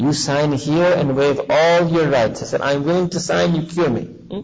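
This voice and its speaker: At a moderate pace, a man speaks with fairly even intonation and a somewhat breathy voice. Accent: American. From US, New York City. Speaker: Islamic preacher. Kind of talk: sermon. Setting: mosque gathering with audience, on a visit to South Africa.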